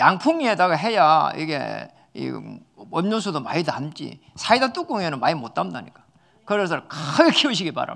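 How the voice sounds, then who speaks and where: A man in an animated tone at a moderate pace, with big swings in loudness. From South Korea, Jinju area (Gyeongsang). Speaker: pastor. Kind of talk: sermon.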